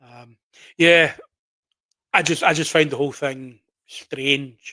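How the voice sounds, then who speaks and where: The voice has a bright, sharp tone in a Glaswegian accent. Its intonation is monotone and flat. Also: man, dry, close sound with no echo. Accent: Glaswegian Scottish. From Scotland, Glasgow. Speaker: horror story channel owner. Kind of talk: casual live stream chat. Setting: live stream at PC.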